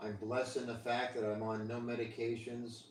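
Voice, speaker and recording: This man talks at a moderate pace with an American accent and monotone, flat intonation. Noticeable background noise and audible room echo surround him. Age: 60s. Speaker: live streamer. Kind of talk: casual chat. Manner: halting.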